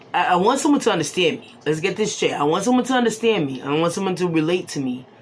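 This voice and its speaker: A woman's very fast, medium-pitched speech with very wide pitch swings, big swings in loudness and audible room echo. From Boston, Massachusetts, Haitian family. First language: Haitian Creole. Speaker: tarot reader. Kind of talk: casual talk to camera.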